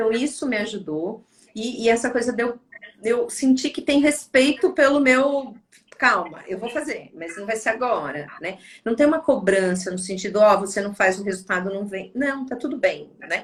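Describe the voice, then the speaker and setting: Her voice sits fairly high for a woman, with lively intonation and big swings in loudness. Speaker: psychologist. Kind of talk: casual chat. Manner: fast.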